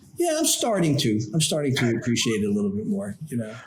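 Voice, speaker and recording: Over noticeable background noise and audible room echo, a man with an American accent speaks with very wide pitch swings. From New York, Long Island. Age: 60s. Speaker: trial lawyer, law firm founder. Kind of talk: interview.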